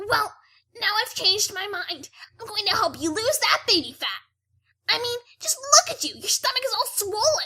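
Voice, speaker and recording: A woman uses a put-on character voice at an extremely high pitch. She keeps a moderate pace. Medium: read story. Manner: brash, blunt.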